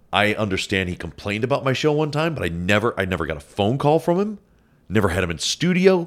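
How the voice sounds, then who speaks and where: A man with an American accent talks at a very fast pace. His fairly low pitch makes very wide swings. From Cleveland, Ohio. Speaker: radio talk show host. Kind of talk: casual chat. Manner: halting, frequent repeated words.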